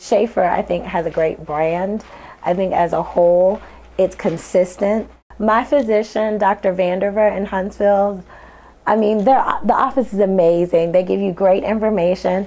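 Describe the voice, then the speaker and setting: A woman in a normal speaking voice keeps a medium pitch and fairly even intonation. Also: moderate pace. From St. Louis, Missouri; Missouri. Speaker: LASIK patient. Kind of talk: testimonial. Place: office. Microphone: lapel.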